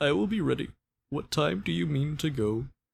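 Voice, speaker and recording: Putting on a character voice, the man talks at a medium pitch and a moderate pace. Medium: read story.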